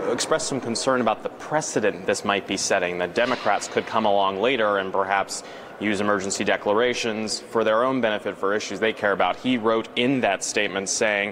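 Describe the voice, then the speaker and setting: A man with a fairly low pitch speaks with hardly any pauses, very even loudness and fairly even intonation over noticeable background noise. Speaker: TV news reporter. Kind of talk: live TV news hit, conversational.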